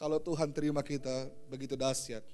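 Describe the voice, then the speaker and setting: A man's dark, mellow tone at a very fast pace. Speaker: pastor. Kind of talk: sermon. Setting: church.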